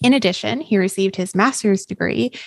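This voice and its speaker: Delivered at a moderate pace with lively intonation, an unremarkable speaking voice with a Canadian accent sounds dry and close with no echo. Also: woman. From Canada. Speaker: podcast host. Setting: video call.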